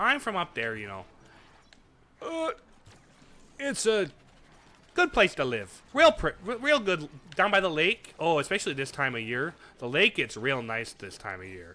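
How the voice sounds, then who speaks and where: A man with a Midwestern US accent at a moderate pace, long, frequent pauses, and big swings in loudness. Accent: Midwest accent, exaggerated at times. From US Midwest. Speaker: streamer. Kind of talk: live gameplay stream chat. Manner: casual, folksy.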